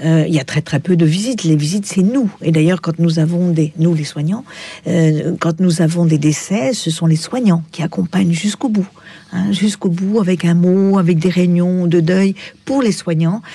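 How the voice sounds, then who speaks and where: With noticeable background noise around her, a woman speaks at a moderate pace. Her pitch is fairly low and her loudness very even. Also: ordinary pitch variation. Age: 70s. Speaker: psychiatrist. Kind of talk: radio interview.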